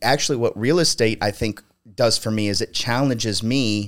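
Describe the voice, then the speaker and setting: In a very clean recording with a silent background, a man with an American accent and an unremarkable speaking voice talks at medium pitch with ordinary pitch variation. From Ohio. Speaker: entrepreneur and concrete company owner. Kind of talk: casual chat.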